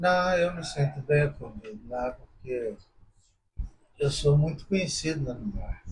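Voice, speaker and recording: With ordinary pitch variation, the man's voice comes across somewhat breathy. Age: 70s. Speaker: visually impaired interviewee. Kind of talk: casual interview.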